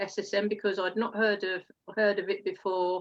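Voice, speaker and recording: Bright and sharp in tone, a woman speaks at a medium pitch with an Essex accent. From England, Essex. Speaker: network marketer, former detective. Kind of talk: testimony interview. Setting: live stream.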